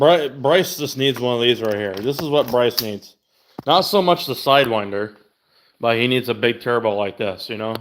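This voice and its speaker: Here is a man with a plain, everyday voice of medium pitch. He speaks at a moderate pace with ordinary pitch variation. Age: 30s. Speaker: car enthusiast streamer. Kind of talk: casual livestream chat. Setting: livestream. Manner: casual, profane.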